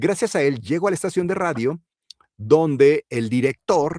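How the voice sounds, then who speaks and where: Lively intonation in a Mexican accent, dry and close with no echo, on a very clean recording with a silent background. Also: man. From Mexico. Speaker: voice actor and announcer. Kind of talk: interview answer.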